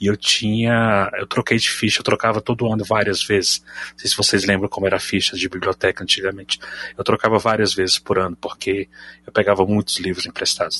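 In a dry, close sound with no echo, a man talks at a fairly quick pace in a fairly low pitch with monotone, flat intonation. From Brasília, Brazil. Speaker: podcast supporter and group admin. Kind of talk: casual group chat.

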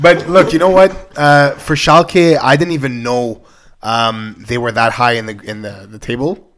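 A man's plain, everyday voice at medium pitch, with lively intonation, big swings in loudness, and a moderate pace. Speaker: podcast host. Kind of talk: casual sports podcast discussion.

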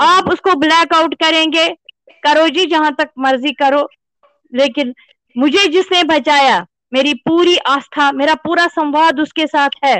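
A woman talks at a high pitch with very even loudness. Her intonation stays fairly even. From Kashmir, Srinagar. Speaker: author and novelist. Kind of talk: interview. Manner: impassioned.

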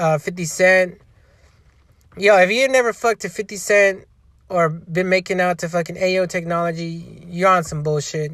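At a moderate pace and a high pitch, a man speaks with fairly even intonation on a very clean recording with a silent background. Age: 30s. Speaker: podcast host. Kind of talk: casual monologue. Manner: rambling with fillers.

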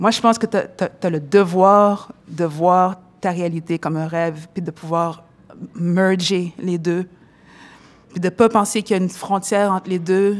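A woman speaks at a fairly slow pace and medium pitch, with fairly even intonation. It's an ordinary speaking voice. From Montréal-Nord, Quebec. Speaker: rapper. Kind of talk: interview.

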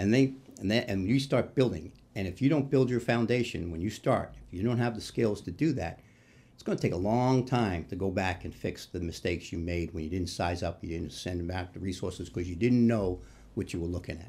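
With an American accent, a man with a very deep, low pitch talks at a fairly quick pace, his intonation lively and his loudness swinging widely. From New York City, Queens. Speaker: retired firefighter and union leader. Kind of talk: interview conversation. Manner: halting, many false starts.

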